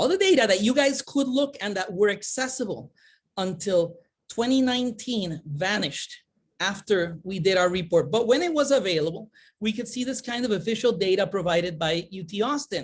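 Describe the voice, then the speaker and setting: In a Spanish accent, a somewhat breathy voice moves at a moderate pace with lively intonation. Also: woman, medium pitch for a woman. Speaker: conference presenter, academic. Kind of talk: conference presentation. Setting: virtual summit. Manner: animated, hand-waving.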